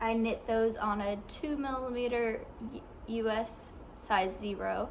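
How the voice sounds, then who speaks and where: Light background noise sits under a woman with an American accent. She speaks at a fairly slow pace with fairly even intonation. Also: fairly high pitch for a woman. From US South, southwest Arkansas. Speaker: knitting podcaster. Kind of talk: casual video podcast. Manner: halting, many ums and restarts. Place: home room. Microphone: phone near.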